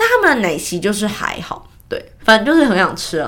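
A woman talks at a moderate pace with medium pitch. Noticeable background noise runs behind her. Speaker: podcast host. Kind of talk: casual news chat. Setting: home desk with mic.

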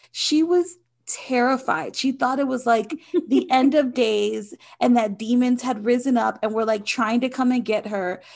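A woman with a high pitch talks at a fairly slow pace, her pitch varying in an ordinary way. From Haitian background. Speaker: podcast co-host. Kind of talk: casual chat. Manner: chatty.

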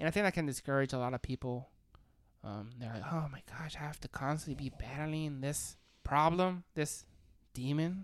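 Speech at a moderate pace comes across animated and confident, with ordinary pitch variation on a very clean recording with a silent background. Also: woman, very deep, low pitch for a woman, big swings in loudness. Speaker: podcast co-host. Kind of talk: casual podcast chat. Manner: animated, loud and confident.

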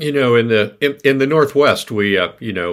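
With lively intonation and a fairly quick pace, a man with an American accent speaks on a very clean recording over a silent background. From New York City. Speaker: mountaineer. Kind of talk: interview. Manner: halting, repeats words.

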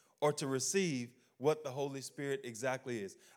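Ordinary pitch variation marks this voice with a Louisiana accent, on a very clean recording with a silent background. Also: man. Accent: US Southern (Louisiana). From Louisiana, Baton Rouge. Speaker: pastor. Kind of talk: sermon. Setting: church. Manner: animated.

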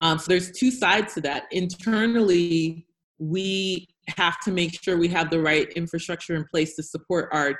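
In a normal speaking voice, a woman talks at a fairly low pitch. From United States. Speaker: health tech founder. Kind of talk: panel discussion. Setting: video call.

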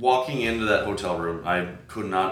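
Against audible room echo, a man with an American accent speaks in a bright, sharp tone with ordinary pitch variation. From US Midwest, Chicago. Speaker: podcast host. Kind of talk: casual interview conversation.

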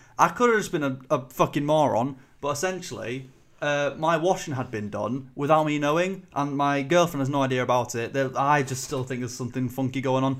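A man with a Yorkshire accent, fairly high pitch, ordinary pitch variation and a fairly quick pace. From northern England, Selby, Yorkshire. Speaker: podcast host. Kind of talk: casual chat.

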